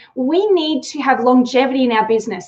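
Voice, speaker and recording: An animated tone in an Australian accent, with ordinary pitch variation and a moderate pace. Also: woman. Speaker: sales trainer. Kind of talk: live webinar talk. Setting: live online stream.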